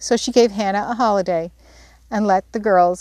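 What we hear is a natural reading voice.

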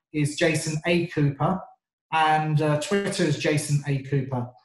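A man with a southern English accent, a fairly high pitch, fairly even intonation and a fairly slow pace. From England, North London. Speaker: sales trainer. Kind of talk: interview.

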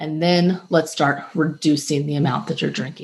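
With a very deep, low pitch and a somewhat breathy quality, a woman talks at a moderate pace with ordinary pitch variation over a quiet background. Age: 40s. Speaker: podcast host and health coach. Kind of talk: solo podcast talk. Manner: casual with fillers.

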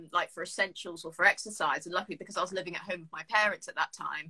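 A woman's bright, sharp tone at a very fast pace, with fairly even intonation and a dry, close sound with no echo. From Jersey. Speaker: podcast host, university student. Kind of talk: casual chat interview.

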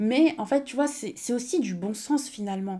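Over a silent background on a very clean recording, a woman with a dark, mellow tone and a fairly high pitch speaks at a moderate pace with ordinary pitch variation. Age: 20s. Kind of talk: casual monologue.

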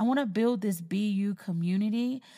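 At a moderate pace, the speaker sounds animated and somewhat breathy, with ordinary pitch variation. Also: woman. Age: 30s. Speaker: podcast host. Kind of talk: casual chat.

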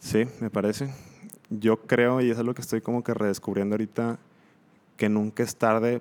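A man speaks at a moderate pace in a fairly low, monotone voice with flat intonation. The recording is very clean, with a silent background. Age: 20s. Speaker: industrial engineer. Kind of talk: casual chat.

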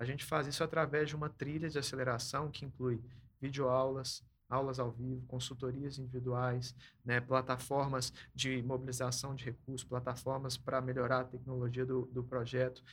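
This man's voice sits at a medium pitch and is somewhat breathy. His intonation is monotone and flat, and his pace is moderate. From Belo Horizonte, Minas Gerais, Brazil. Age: 20s. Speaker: social program manager. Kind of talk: casual chat.

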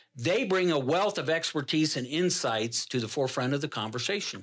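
With an ordinary speaking voice, a man talks at a moderate pace, his fairly high pitch carried by lively intonation. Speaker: podcast host. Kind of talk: casual interview chat. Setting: studio.

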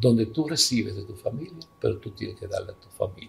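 A somewhat breathy male voice. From Dominican Republic. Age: 70s. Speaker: father of the host. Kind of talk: life story interview. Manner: halting.

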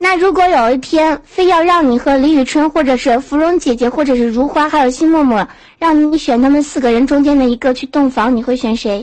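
With hardly any pauses, a woman speaks at a high pitch with ordinary pitch variation. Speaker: chat room caller. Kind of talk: casual chat. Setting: online voice chat room.

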